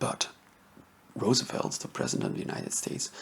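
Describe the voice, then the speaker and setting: A man speaks in a soft-spoken way. Noticeable background noise runs underneath. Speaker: history ASMR YouTuber. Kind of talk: soft-spoken ASMR history talk to camera.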